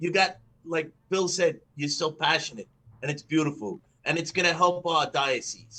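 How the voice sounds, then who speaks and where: A man's high-pitched voice, bright and sharp in tone, at a moderate pace. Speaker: podcast co-host. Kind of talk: casual chat.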